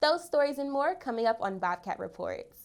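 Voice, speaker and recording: A woman with an ordinary speaking voice and lively intonation at a fairly quick pace, in a very clean recording with a silent background. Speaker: news anchor. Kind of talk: TV news anchor read.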